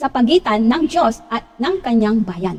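A woman speaking at a fairly slow pace, her pitch swinging very widely. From Philippines, Pangasinan. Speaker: lay preacher / Bible teacher. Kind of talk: Bible study talk. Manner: halting, many fillers.

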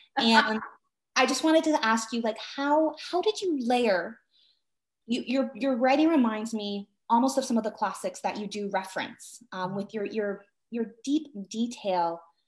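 At a moderate pace, a woman with a Canadian accent and a fairly high pitch speaks with lively intonation over a quiet background. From Canada. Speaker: book event moderator and writer. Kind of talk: interview. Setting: video call. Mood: warm, enthusiastic. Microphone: video call.

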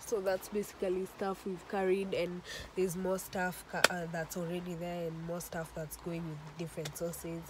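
Over noticeable background noise, a woman with a fairly low pitch speaks in a flat monotone, and the sound is dry with no echo. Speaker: vlogger. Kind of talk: casual vlog chat. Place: car. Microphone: phone near.

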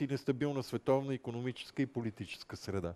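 Talking at a fairly quick pace, a man has a dark, mellow tone and ordinary pitch variation. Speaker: moderator. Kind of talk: interview. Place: hall. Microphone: headset.

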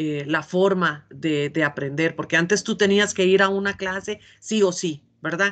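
The intonation is lively. The pace is moderate. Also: woman. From Costa Rica. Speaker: coffee exporter and language student; interviewee. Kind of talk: interview. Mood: warm, engaged. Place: home room. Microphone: video call.

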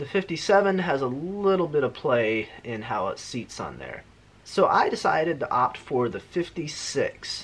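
A man speaks at a moderate pace with big swings in loudness. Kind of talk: casual vlog chat. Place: workshop. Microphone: phone near.

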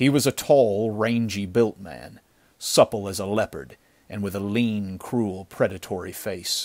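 Fairly even intonation shapes this plain reading aloud.

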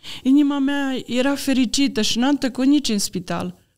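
The background stays quiet. A woman's speech moves at a moderate pace. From Romania, Maramureș; Romania. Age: 60s. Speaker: church member giving testimony; podcast guest. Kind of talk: personal testimony. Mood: earnest, calm faith testimony. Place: studio. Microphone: studio mic.

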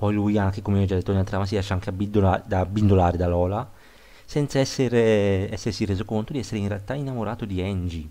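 A man rattles along at a very fast pace, his intonation fairly even. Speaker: film review youtuber. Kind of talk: video review monologue. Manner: halting, repeats words.

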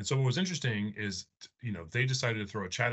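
A man's voice, quiet background. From Arizona, US (Phoenix). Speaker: air force officer and test pilot; presenter. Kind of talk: presentation. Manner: halting, many fillers. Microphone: video call.

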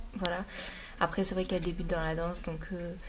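Somewhat breathy and fairly low in pitch, a woman's voice comes through over light background noise. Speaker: beauty vlogger. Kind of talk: casual vlog.

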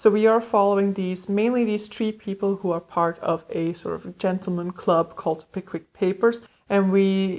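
With hardly any pauses, a woman speaks at a moderate pace and with fairly even intonation. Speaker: book vlogger. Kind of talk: casual vlog chat. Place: home room.

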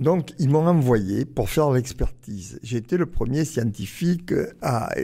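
With lively intonation, a man talks fairly slowly, his tone dark and mellow and somewhat breathy. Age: 80s+. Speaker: archaeologist. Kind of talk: interview. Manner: halting.

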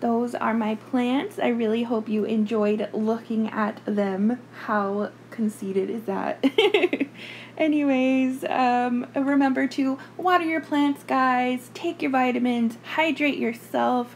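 At a very slow pace, a woman speaks in a high voice with ordinary pitch variation over light background noise. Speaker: hobby vlogger. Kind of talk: casual talk to camera. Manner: polite customer service voice. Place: home room. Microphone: phone near.

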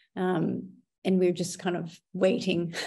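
With an American accent, a woman speaks at a fairly low pitch with vocal fry against a quiet background. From North Dakota, US. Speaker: photographer, business owner. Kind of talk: podcast interview answer. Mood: reflective, somewhat somber. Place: home room. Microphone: webcam.

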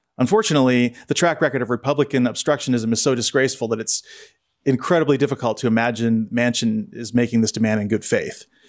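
Over a quiet background, a man talks at a fairly quick pace with ordinary pitch variation. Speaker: podcast co-host. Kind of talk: news commentary. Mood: wry, critical. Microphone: studio mic.

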